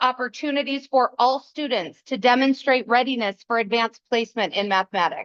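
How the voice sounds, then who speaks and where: Loud and fairly quick, a woman speaks at a high pitch with ordinary pitch variation. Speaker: school principal. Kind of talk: presentation at a school board meeting. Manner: loud projecting teacher voice. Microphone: no microphone, speaking from the back.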